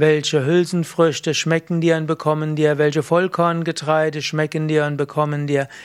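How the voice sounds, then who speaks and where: Speaking at a fairly slow pace, a man delivers his words at a fairly high pitch in a monotone, flat intonation. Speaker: yoga teacher. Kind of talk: tutorial. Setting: video recording.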